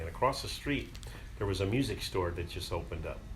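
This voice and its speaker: A man with an American accent and a very deep, low voice talks at a very fast pace over noticeable background noise. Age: 70s. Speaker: retired musician, guitarist. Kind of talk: interview answer, personal reminiscence.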